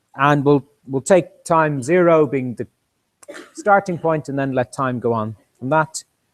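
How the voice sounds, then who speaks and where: A man with an Irish accent speaks at a fairly slow pace, his pitch fairly high for a man. His pitch varies an ordinary amount, and he leaves long, frequent pauses. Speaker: university lecturer. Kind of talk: lecture. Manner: halting, with many repetitions and fillers.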